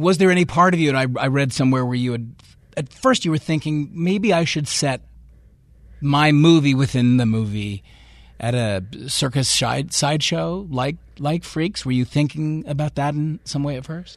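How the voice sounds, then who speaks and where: The speaker has an unremarkable speaking voice and keeps a moderate pace. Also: man, fairly high pitch for a man, ordinary pitch variation. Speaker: radio host. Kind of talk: radio interview. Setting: studio.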